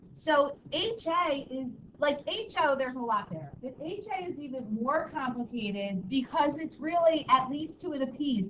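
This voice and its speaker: Speaking at a moderate pace with hardly any pauses, a woman with a high voice swings widely in loudness while audible room echo surrounds her. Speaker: high school statistics teacher. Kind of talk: classroom lecture. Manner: casual, filler-heavy.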